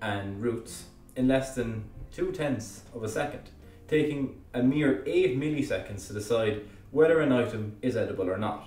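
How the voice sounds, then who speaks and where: Music plays behind a man with an Irish accent who speaks at a moderate pace and medium pitch with ordinary pitch variation, with audible room echo. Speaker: educational YouTuber. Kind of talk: narrated explainer. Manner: casual with hesitations.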